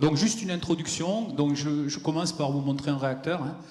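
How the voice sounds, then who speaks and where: Speech moves at a fairly quick pace. Audible room echo and noticeable background noise fill the recording. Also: man. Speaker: physicist giving a conference talk. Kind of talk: lecture. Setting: conference hall with audience. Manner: hesitant, with many fillers.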